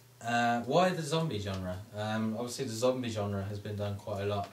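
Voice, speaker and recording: A man with an English accent speaks at a moderate pace in a fairly low pitch, with audible room echo and noticeable background noise. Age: 20s. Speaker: film student. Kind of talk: sales pitch. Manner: halting.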